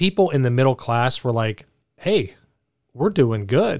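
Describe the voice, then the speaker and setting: In an ordinary speaking voice, a man of medium pitch talks at a moderate pace. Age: 40s. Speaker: radio talk show host. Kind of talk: call-in talk radio. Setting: radio studio.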